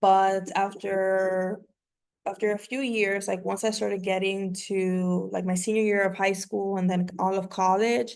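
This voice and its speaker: A woman with a Spanish accent speaks fairly slowly at a medium pitch. Her intonation is monotone and flat, against a quiet background. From New York and Miami, Dominican family. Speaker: community organizer and workshop facilitator. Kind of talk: online workshop talk, personal story.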